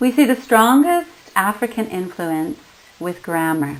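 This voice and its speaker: A woman at a fairly slow pace, medium in pitch, with a Canadian accent and very wide pitch swings. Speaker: linguistics lecturer. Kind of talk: lecture.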